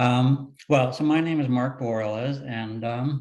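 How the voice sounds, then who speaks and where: Speaking at a fairly slow pace, a man with a medium pitch and fairly even intonation has an unremarkable speaking voice. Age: 60s. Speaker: retired lawyer, panelist with hemophilia. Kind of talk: personal testimony on webinar panel.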